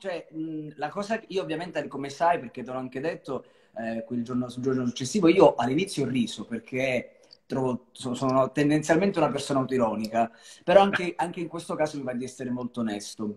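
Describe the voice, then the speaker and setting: With a normal speaking voice, a man talks at a fairly quick pace in a fairly high pitch, his intonation lively and his loudness swinging widely over a quiet background. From Calabria, Italy (Cosenza). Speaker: singer. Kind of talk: live-stream interview. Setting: video call live stream. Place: home room. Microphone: video call.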